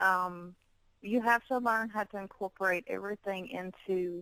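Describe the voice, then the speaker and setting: Dry and close with no echo, a woman with a strong Southern US accent speaks in a bright, sharp tone at a medium pitch, her intonation fairly even and her pace fairly slow. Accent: heavy Southern US. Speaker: fitness model and bikini competitor. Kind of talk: interview.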